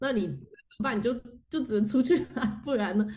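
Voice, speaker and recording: A woman talks at a very fast pace and fairly high pitch, in an animated tone with lively intonation. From Taiwan. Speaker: motion designer. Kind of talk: casual chat. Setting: remote call from France. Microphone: poor cross-border recording quality.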